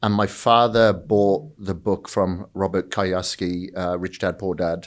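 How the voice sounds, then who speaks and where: A man speaks with a Welsh accent at a fairly low pitch. The recording is very clean, with a silent background. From Wales. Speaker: fitness entrepreneur and bodybuilder. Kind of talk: podcast interview.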